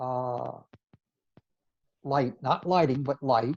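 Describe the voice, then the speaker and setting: A man's medium-pitched voice at a very slow pace, dry and close with no echo. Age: 70s. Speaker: amateur photographer, photo club co-president. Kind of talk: interview.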